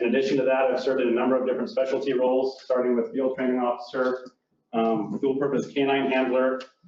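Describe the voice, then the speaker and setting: An American accent comes through. The room echo is audible. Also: man. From Washington state, Lewis County. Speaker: sheriff candidate, police officer. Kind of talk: public comment at council meeting. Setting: city council meeting. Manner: quivering, nervous.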